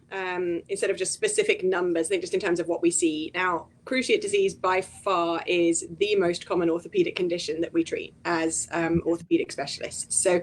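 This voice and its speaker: In a British accent, a woman talks fairly quickly. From UK. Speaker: veterinary orthopedic specialist. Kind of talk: interview. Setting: live video stream. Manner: hesitant, many fillers.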